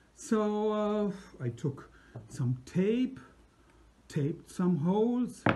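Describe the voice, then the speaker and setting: Amid noticeable background noise, a man speaks very slowly in a high voice, his pitch swinging very widely, with long, frequent pauses. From Germany. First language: German. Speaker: musician. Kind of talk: personal anecdote. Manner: halting.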